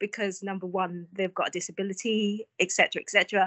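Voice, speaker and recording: Here is a woman with an East London accent. Her pitch is medium. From East London, England (born in Vietnam). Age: 40s. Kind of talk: casual interview.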